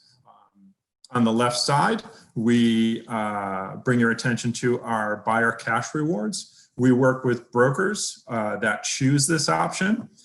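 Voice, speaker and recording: Very slowly, a man talks at a middle pitch, his voice rising and falling in an ordinary way. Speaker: real estate website executive. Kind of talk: conference presentation.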